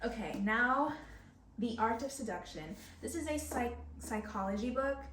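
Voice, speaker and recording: A woman with a fairly high pitch talks at a moderate pace, her intonation lively. Audible room echo and noticeable background noise surround her voice. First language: Spanish. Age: 20s. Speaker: book vlogger. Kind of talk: casual chat. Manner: hesitant, filler-heavy.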